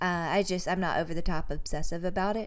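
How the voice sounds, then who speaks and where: A woman talks at a moderate pace. Her fairly low voice holds a monotone, flat intonation. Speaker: horse trainer. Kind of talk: instructional talk to camera.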